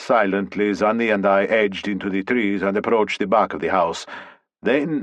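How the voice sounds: A natural reading voice is heard with little sound behind it.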